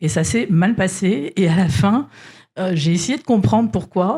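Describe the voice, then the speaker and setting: This woman's voice is somewhat breathy. Her tone is dark and mellow. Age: 60s. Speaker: corporate executive. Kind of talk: panel discussion.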